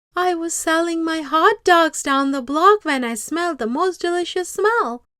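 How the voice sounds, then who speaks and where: Squeaky and pitched extremely high, a woman performs a put-on character voice. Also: moderate pace. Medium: read story. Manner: hearty, relishing.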